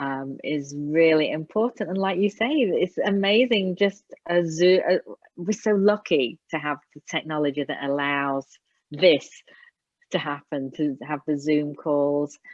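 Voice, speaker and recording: Her pitch is very deep and low, with ordinary variation. The woman speaks at a fairly slow pace with an English accent. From England. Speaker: Alexander Technique teacher. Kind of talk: casual interview.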